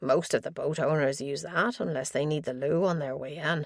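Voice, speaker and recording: A raspy, put-on character voice at a middle pitch and a moderate pace. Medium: read story. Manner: hesitant, slightly flustered.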